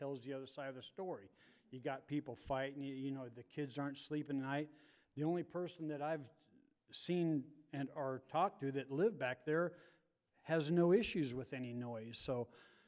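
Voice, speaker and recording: His pitch varies in an ordinary way. The man talks at a moderate pace. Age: 60s. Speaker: public commenter at city meeting. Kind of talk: public comment at zoning hearing. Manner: rambling, hesitant with repetitions.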